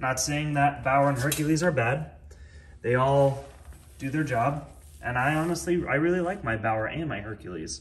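Speaking at a moderate pace, a man uses a fairly high, somewhat breathy voice and ordinary pitch variation. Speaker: YouTuber reviewing power tools. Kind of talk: casual vlog monologue. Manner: rambling, with frequent fillers. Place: garage. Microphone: phone near.

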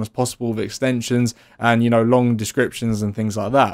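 The recording is very clean, with a silent background. Speech moves at a fairly quick pace. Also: man.

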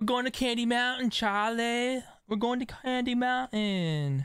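Put on as a character voice, this whiny, fairly high delivery runs at a moderate pace on a very clean recording with a silent background. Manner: whiny, pleading.

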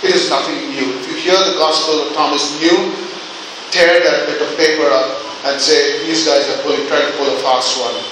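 At a moderate pace, a man talks amid strong room echo and noticeable background noise. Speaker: preacher. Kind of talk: sermon. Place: church.

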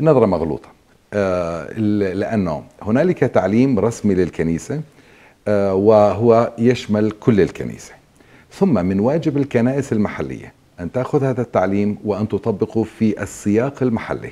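With lively intonation, a man speaks fairly slowly in a fairly low voice. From Palestine, Zababdeh near Jenin; Palestine. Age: 50s. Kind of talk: interview. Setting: archdiocese office in Amman. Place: hall. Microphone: lapel.

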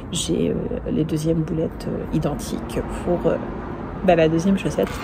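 A woman at a moderate pace, with noticeable background noise. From northern France. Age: 40s. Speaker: knitting podcaster. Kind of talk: casual chat. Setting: in a mountain ski resort, filmed video. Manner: conversational, hesitant with fillers. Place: open country. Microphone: phone near.

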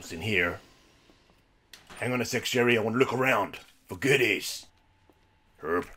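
Doing a put-on character voice, a man speaks at a moderate pace with a raspy, medium-pitched sound and long, frequent pauses. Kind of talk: let's play commentary. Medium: puppet. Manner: upbeat, playful.

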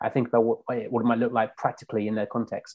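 A man speaks with a London accent. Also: quiet background. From South London. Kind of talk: casual chat. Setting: video call. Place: home room.

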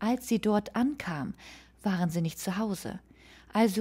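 In a very clean recording with a silent background, a woman speaks at medium pitch and a moderate pace, her dark, mellow tone somewhat breathy and solemn, serious, with ordinary pitch variation. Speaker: true crime podcaster. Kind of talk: true-crime narration, scripted-style storytelling of a murder case. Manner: solemn, measured and serious, sombre storytelling tone.

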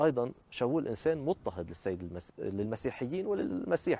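A man's dark, mellow tone at a moderate pace, very wide pitch swings, and a dry sound with no echo. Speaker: priest. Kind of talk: TV interview. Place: garden.

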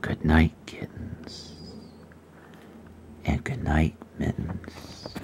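Whispering at a very slow pace, with long, frequent pauses. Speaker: reader. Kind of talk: read-aloud bedtime story. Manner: soft-spoken. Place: home room. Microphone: phone near.

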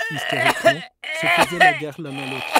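A man speaks over noticeable background noise. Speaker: podcast host and narrator. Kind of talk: educational storytelling with role-play interview. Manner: conversational, curious, informal.

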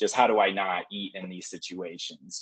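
A normal speaking voice with an American accent, moderate in pace, fairly even in intonation, dry with no echo over a quiet background. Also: man. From Oklahoma, US. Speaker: clinical psychologist. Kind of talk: online lecture. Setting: video call. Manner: casual with many filler words. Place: home room. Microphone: video call.

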